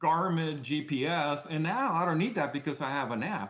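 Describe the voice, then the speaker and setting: There is audible room echo as a man with a fairly high pitch talks at a moderate pace with ordinary pitch variation. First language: Spanish. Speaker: startup CEO. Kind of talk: podcast interview. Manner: repetitive false starts.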